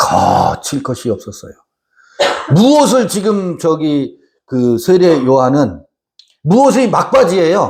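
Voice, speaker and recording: A man's very slow, high-pitched speech with very wide pitch swings and long, frequent pauses. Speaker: Bible teacher. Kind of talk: Bible study lecture with audience. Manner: loud; animated.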